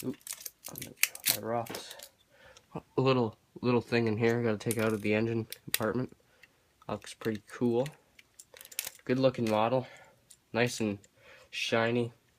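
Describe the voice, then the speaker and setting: Over noticeable background noise, a man speaks in a flat monotone at a moderate pace, leaving long, frequent pauses. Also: medium pitch for a man. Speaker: hobbyist YouTuber, model collector. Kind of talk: unboxing video. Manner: halting, many fillers.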